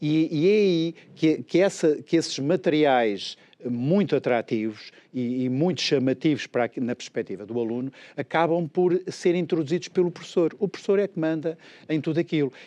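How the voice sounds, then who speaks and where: A man with a fairly high pitch and a dark, mellow tone speaks at a moderate pace with lively intonation. The sound is dry and close, with no echo. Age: 60s. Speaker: education expert. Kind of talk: interview. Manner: halting.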